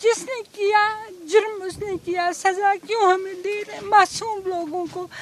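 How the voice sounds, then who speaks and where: A woman's extremely high voice, fairly even in intonation, swings widely in loudness. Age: 70s. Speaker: long-term resident being deported. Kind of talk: street interview.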